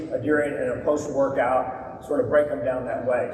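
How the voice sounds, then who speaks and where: Noticeable background noise and audible room echo surround this man as he speaks. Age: 60s. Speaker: surgeon promoting supplements. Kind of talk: stage presentation.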